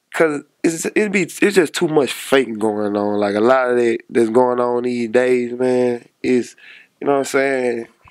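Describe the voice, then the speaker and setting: An American-accented man speaks at a fairly slow pace with ordinary pitch variation, the sound dry with no echo and the background quiet. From Monroe, Louisiana; Louisiana. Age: 20s. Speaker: rapper. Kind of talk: casual interview. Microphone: handheld.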